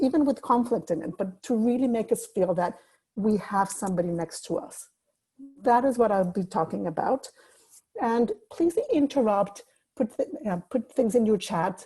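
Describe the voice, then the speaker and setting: A woman with a dark, mellow, somewhat breathy tone talks at a moderate pace with ordinary pitch variation. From Mexico City. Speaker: life coach. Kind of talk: webinar talk.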